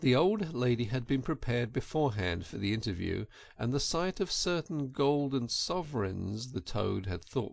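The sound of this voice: An unforced reading voice is heard. The intonation rises and falls in a lively way.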